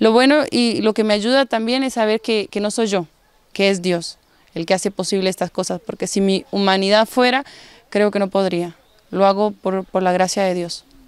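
The sound is dry with no echo as a woman talks at a moderate pace. Her pitch varies in an ordinary way. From Guatemala. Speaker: rehab community leader. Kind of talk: testimony. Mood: earnest, grateful faith testimony. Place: garden. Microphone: handheld.

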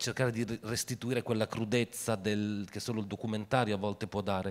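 The man speaks with fairly even intonation. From Italy, Piacenza; Italy. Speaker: film producer; guest. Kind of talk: festival Q&A talk. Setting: stage with audience. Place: stage. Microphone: handheld.

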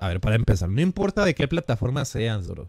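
Vocal fry runs through very wide pitch swings, with a dry sound with no echo and a quiet background. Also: man. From Mexico, Jalisco. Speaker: gaming streamer. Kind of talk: live game stream chat. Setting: live stream. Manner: animated. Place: home room. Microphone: headset.

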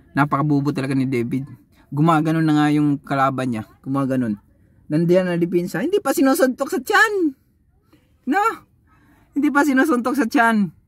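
Against a quiet background with a dry sound and no echo, a high-pitched man speaks in an animated tone, his pitch swinging very widely, with long, frequent pauses. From Philippines. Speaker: YouTube boxing commentator vlogger. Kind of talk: casual fight recap and trash talk. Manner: animated, mocking, laughing. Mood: animated, mocking, exasperated. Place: car. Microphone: phone near.

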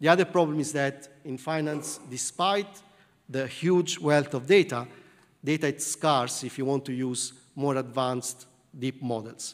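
A man with an Italian accent, fairly high pitch and ordinary pitch variation. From southern Italy. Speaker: computer science professor. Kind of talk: lecture. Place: hall.

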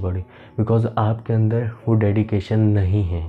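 Faint music plays behind a man with a fairly low pitch. He speaks fairly slowly with fairly even intonation. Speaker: fitness vlogger. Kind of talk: motivational talk to camera. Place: home room. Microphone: camera far.

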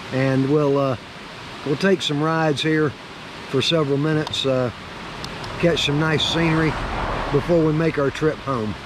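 A man talks at a moderate pace with long, frequent pauses, fairly even intonation and very even loudness, in a dry recording with no echo but noticeable background noise. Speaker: motorcycle travel vlogger. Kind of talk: casual vlog chat. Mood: relaxed, friendly. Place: open country. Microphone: phone near.

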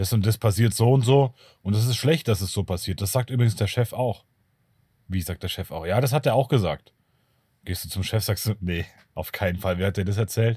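A man talks at a fairly quick pace with long, frequent pauses, his voice somewhat breathy and dark, mellow in tone, with ordinary pitch variation. The recording is very clean, with a silent background. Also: dry, close sound with no echo. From Bavaria. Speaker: YouTuber on narcissism and self-protection. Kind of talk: solo video monologue.

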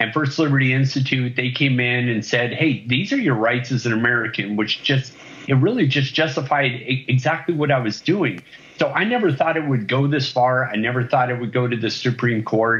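A man at a fairly quick pace, with ordinary pitch variation. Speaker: remote interview guest. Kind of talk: interview answer. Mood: earnest, a bit indignant. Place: home room. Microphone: video call.

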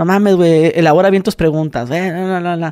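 Fairly quick speech from a man with a Mexican accent and a high pitch, dry and close with no echo, on a very clean recording with a silent background. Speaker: podcast host / youtuber. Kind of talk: casual chat.

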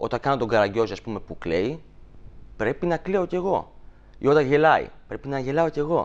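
Pitch runs fairly high for this man, with very wide swings. He keeps a moderate pace. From Greece, Thessaly (Volos); Greece. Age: 20s. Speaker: shadow puppeteer; guest. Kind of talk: TV interview. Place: studio. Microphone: lapel.

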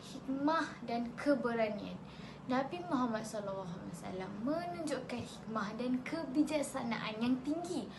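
A woman's high-pitched voice at a fairly slow pace, ordinary pitch variation, audible room echo and noticeable background noise. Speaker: student. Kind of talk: class presentation. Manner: formal.

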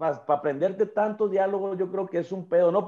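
Against a quiet background, a man with a Mexican accent talks in a high pitch with a dark, mellow tone. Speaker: podcast co-host; podcast host. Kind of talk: casual chat. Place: home room. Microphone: video call.

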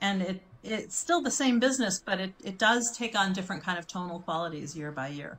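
With an American accent, the speaker moves at a fairly quick pace using lively intonation. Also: woman. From US Midwest, Chicago. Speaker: branding and communications consultant; interview guest. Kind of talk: interview conversation. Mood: relaxed, reflective. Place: home room.

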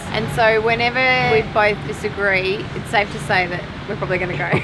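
Amid noticeable background noise, a woman speaks at a fairly quick pace. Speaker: home renovation vlogger. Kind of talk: casual vlog chat. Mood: playful, teasing. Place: shop. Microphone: phone near.

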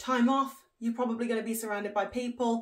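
A woman speaks fairly quickly, with quiet surroundings behind her. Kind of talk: casual vlog chat. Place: home room.

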